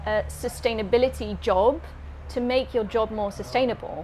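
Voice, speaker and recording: Here a woman speaks with a British accent at a moderate pace. Noticeable background noise is present. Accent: British-sounding English. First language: Dutch. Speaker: climate-focused doctor. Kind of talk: interview. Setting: in a mobile tour studio.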